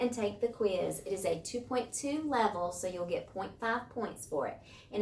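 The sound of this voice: With an unforced reading voice, the speaker's intonation moves in a lively way.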